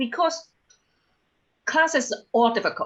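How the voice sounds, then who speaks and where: Her voice is raised and projected, with a bright, sharp tone. This woman's pitch swings very widely. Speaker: engineering alum panelist. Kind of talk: panel discussion. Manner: halting.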